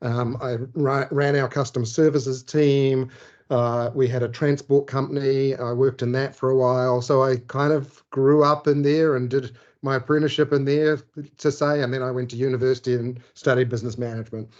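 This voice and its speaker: A man's medium-pitched voice with a New Zealand accent, monotone, flat intonation and a fairly quick pace against a quiet background. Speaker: sales director. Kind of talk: interview.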